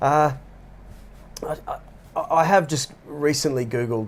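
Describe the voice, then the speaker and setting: A speaker with an Australian accent. The pitch varies in an ordinary way. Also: man. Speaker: podcast co-host. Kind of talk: casual discussion. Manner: halting.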